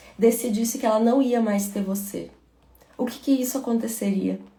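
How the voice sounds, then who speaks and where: A woman with a fairly high voice keeps her intonation fairly even, while room reverberation and clear background noise are audible. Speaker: motivational speaker. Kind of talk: livestream talk.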